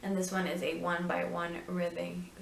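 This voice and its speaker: Against noticeable background noise and audible room echo, a woman with a non-native accent talks at a moderate pace. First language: not English. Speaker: knitting and crafts video host. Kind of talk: casual tutorial show-and-tell. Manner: halting, many ums and restarts.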